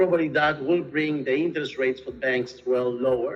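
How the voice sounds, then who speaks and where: A man speaks in an Argentine accent at a moderate pace, his fairly high pitch showing ordinary variation. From Argentina, Buenos Aires. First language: Spanish. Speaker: real estate executive. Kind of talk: interview.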